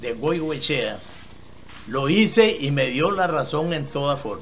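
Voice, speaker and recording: Amid audible room echo and noticeable background noise, a man talks very slowly, fairly high in pitch with ordinary pitch variation. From Costa Rica, Esparza (Puntarenas). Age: 80s+. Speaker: elderly entrepreneur telling his life story. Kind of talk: interview testimony. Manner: halting, with repetitions.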